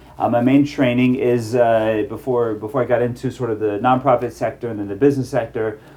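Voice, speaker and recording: A man with an American accent talks at a fairly quick pace in a medium pitch. His intonation is fairly even, and there is noticeable background noise. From US South, Atlanta, Georgia. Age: 40s. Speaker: rabbi and life coach. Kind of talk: casual chat. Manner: halting, many fillers.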